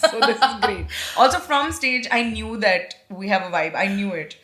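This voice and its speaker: Over noticeable background noise, a woman with a fairly high pitch talks at a moderate pace with very wide pitch swings. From India, Nagpur. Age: 30s. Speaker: comedian. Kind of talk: casual chat. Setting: podcast recording. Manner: animated.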